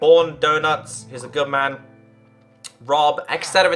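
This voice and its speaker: At a fairly quick pace, someone speaks with music in the background. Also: man. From northern England, Liverpool. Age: 20s. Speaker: gaming streamer. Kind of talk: casual live-stream chat. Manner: halting, many fillers and repeats; earnest.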